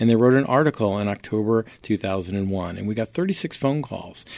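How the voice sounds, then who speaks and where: A man with a normal speaking voice talks in an American accent at medium pitch and a moderate pace. His intonation is lively, and the background is quiet. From New York State, Poughkeepsie. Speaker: entrepreneur, former radio DJ. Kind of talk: interview.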